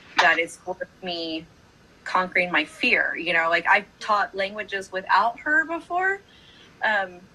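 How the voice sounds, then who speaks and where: A woman speaks at a medium pitch with lively intonation. Noticeable background noise runs under her voice. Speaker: high school choir director. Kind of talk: casual chat.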